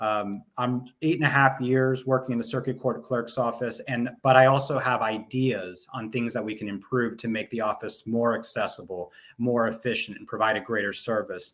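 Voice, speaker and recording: Moderate pace, fairly even intonation, and hardly any pauses. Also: man, medium pitch for a man. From Fairfax County, northern Virginia. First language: Spanish. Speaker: lawyer and political candidate. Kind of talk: interview.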